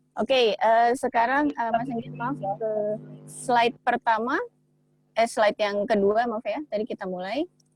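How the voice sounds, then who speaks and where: A woman speaks at a fairly slow pace in a plain, everyday voice, fairly high in pitch with ordinary pitch variation. The sound is dry and close with no echo. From Indonesia. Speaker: guest speaker. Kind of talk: online presentation. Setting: video call.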